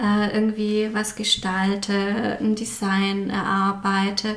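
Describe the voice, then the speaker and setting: A woman's monotone, flat voice at a fairly high pitch, with audible room echo and noticeable background noise. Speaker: graphic designer and stationery label founder. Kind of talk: casual interview. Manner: many filler sounds.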